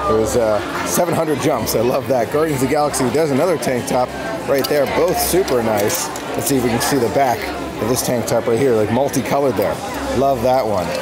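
A man at a fairly quick pace with ordinary pitch variation, crowd noise in the background. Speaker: theme park vlogger. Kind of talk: casual vlog chat. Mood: excited, enthusiastic. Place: shop. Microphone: phone near.

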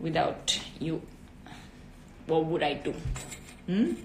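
A woman with an Italian accent speaks at a very slow pace, with audible room echo and light background noise. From southern Italy. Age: 20s. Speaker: actress and model; actress. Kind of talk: casual chat. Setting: Instagram live video. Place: home room. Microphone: phone near.

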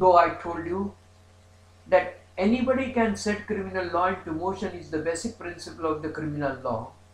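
Audible room echo surrounds a man speaking at a moderate pace in a high pitch with ordinary pitch variation. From India. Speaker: law professor. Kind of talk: lecture. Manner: formal. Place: home room. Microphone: webcam.

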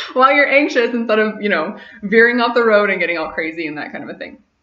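A woman's voice comes with audible room echo. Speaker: vlogger. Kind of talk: casual vlog chat. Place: home room. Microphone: webcam.

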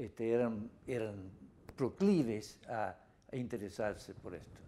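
A man speaks with an English accent in a dark, mellow tone. His pace is very slow. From US Northeast, Rhode Island. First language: English (speaking Spanish). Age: 80s+. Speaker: anthropologist and author; interviewee. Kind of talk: interview. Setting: office. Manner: halting, many repetitions. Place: office. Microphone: lapel.

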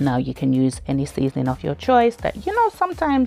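Over faint background music, a woman talks at a fairly quick pace. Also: dry sound with no echo. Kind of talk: cooking tutorial. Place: kitchen.

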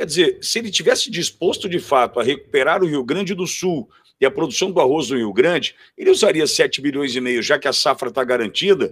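Over a quiet background, a man speaks at a fairly quick pace in a high pitch. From Brazil. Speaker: co-commentator. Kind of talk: political commentary. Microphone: video call.

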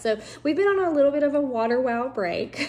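A woman with lively intonation talks at a moderate pace over light background noise. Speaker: family vlogger. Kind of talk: casual vlog chat. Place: home room. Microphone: phone near.

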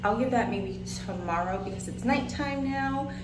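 A woman speaks with music in the background. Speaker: travel vlogger. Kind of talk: casual vlog chat. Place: home room. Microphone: phone near.

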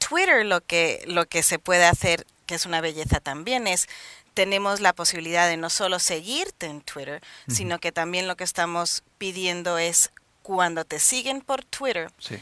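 A woman with a non-native accent speaks at a moderate pace, her fairly low pitch carrying a bright, sharp tone in a dry sound with no echo. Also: ordinary pitch variation. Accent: noticeable foreign accent in Spanish. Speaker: social media advisor; interview guest. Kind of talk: studio interview. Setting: TV studio with cameras. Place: studio. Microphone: headset.

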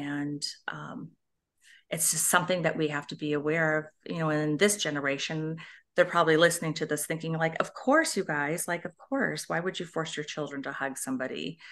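A woman speaks at a fairly quick pace in a very deep, low pitch. Her intonation is fairly even, against a quiet background. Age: 60s. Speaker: author and abuse survivor advocate. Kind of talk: personal testimony. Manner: halting.

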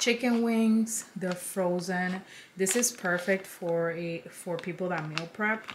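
At a very slow pace, a woman speaks with ordinary pitch variation over light background noise. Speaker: lifestyle vlogger. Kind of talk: casual haul chat. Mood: upbeat, enthusiastic. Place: home room.

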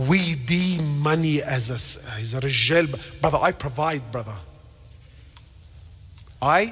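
This man sounds animated, with lively intonation. He goes at a fairly slow pace with long, frequent pauses. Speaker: Islamic scholar giving a lecture. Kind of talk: religious lecture to a live audience. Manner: animated, emphatic preaching. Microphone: headset.

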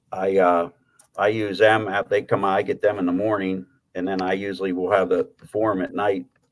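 A man speaks with an American accent at a fairly low pitch and a fairly quick pace. His intonation is monotone and flat, while his loudness swings widely. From Pittsburgh, Pennsylvania. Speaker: horse racing handicapper; podcast guest. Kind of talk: casual chat. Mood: relaxed, chatty. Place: home room. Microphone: studio mic.

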